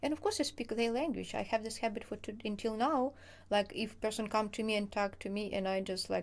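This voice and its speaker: In a very clean recording with a silent background, a woman with a Ukrainian accent speaks at a fairly quick pace, her fairly high pitch following fairly even intonation. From southern Ukraine, village. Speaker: co-host of a life-in-Ukraine channel. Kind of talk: casual chat. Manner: halting, non-fluent English.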